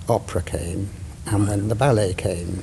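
A man talks with ordinary pitch variation. Noticeable background noise and audible room echo are in the recording. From Wales, Cardiff. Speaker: theatre director and playwright. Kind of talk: casual interview. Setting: theatre stage. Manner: halting, self-interrupting.

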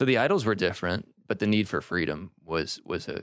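Lively intonation marks this man's very deep, low voice, which has vocal fry. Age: 20s. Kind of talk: casual chat.

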